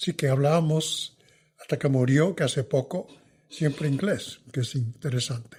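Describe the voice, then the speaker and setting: In a very clean recording with a silent background, a man speaks in a somewhat breathy, fairly high voice with ordinary pitch variation and very even loudness. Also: moderate pace. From New York, Puerto Rican family. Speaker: veteran journalist and author. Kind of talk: interview conversation.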